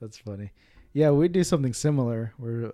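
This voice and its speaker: Captured in a very clean recording with a silent background, a man speaks in a dark, mellow tone. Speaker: podcast host. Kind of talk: casual interview chat.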